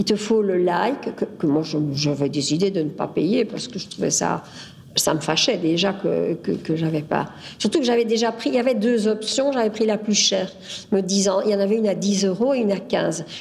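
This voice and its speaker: A woman's medium-pitched voice with lively intonation, a moderate pace and noticeable background noise. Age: 70s. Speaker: interviewee, local resident. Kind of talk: testimony. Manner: halting.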